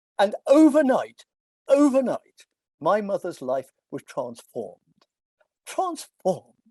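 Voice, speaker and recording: With an English accent, a man talks at a moderate pace in a dark, mellow tone, his pitch swinging very widely, the sound dry and close with no echo. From England. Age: 80s+. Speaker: philosophy professor. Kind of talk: lecture.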